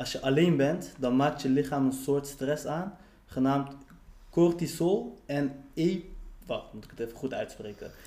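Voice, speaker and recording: This man's voice is fairly high-pitched, with a dark, mellow tone and ordinary pitch variation. He speaks at a fairly slow pace, with big swings in loudness. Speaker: podcast co-host. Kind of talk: casual chat.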